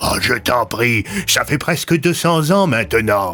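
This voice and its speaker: Putting on a character voice, a man at a medium pitch speaks at a fairly slow pace with very wide pitch swings. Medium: audio drama. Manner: measured, paternalistic.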